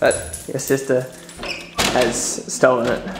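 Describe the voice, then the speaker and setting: A man is heard over noticeable background noise. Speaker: dog owner. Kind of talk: casual talk to camera, talking to pets.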